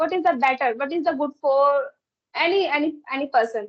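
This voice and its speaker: Her pitch is high and varies in an ordinary way as the woman talks at a moderate speed. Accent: Indian. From India. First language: Hindi or another Indian language. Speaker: English learner in conversation practice. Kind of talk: casual conversation practice. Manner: halting, with repetitions.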